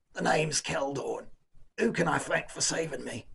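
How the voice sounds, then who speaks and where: A man performs a put-on character voice. It sits at a fairly high pitch and sounds raspy. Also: moderate pace. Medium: read story. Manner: informal, plain-spoken.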